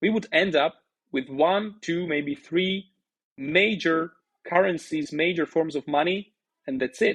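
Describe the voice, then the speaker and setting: A fairly slow pace with a Slovak accent. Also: man. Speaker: bitcoin educator, startup founder. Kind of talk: podcast interview.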